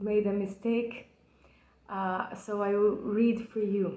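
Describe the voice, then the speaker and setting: With a Brazilian accent, a woman speaks in a fairly high voice with fairly even intonation, and the room echo is audible. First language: Portuguese. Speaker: poetry enthusiast. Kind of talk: personal video lecture on a poem. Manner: halting, with frequent fillers.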